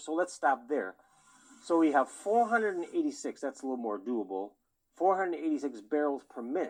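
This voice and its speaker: A fairly high-pitched man's voice with very wide pitch swings and a fairly quick pace. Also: quiet background. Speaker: educational TV show host. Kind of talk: science lecture on a TV show. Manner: fast, hurried; halting, stumbling over words.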